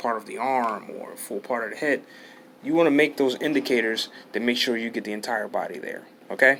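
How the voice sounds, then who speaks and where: The man mumbles at a moderate pace. His pitch sits in the middle range. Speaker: art tutorial youtuber. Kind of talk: tutorial. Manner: mumbling; halting.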